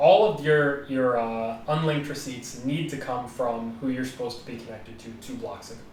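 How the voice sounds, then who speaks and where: Noticeable background noise and audible room echo surround a man talking at a medium pitch. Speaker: blockchain researcher, podcast co-host. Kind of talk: technical discussion. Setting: live stream.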